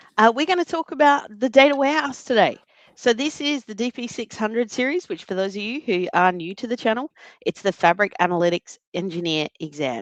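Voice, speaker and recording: A woman with an Australian accent speaks at a fairly quick pace, her fairly high voice making very wide pitch swings. The sound is dry and close, with no echo. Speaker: data analytics trainer and presenter. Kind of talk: live webinar presentation.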